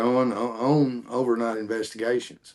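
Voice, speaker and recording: A man with a Southern US accent talks at a fairly slow pace. His intonation stays monotone and flat. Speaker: paranormal investigator. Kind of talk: casual chat.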